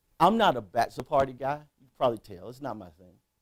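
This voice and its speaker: A man's voice with an American accent, vocal fry and very wide pitch swings, in a dry, close sound with no echo. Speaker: keynote speaker. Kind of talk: motivational speech.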